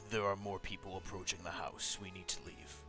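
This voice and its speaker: Clear music in the background behind a man's put-on character voice, very deep and low, at a fairly quick pace. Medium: actual play. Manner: curt, clipped, emotionally distant.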